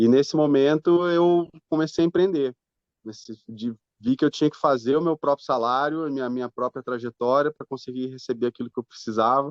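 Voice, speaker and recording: The man's voice sits at a medium pitch with ordinary pitch variation, moving at a fairly quick pace in a dry, close sound with no echo. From southern Brazil, Londrina, Paraná. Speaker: fintech co-founder. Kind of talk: interview. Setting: podcast. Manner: halting.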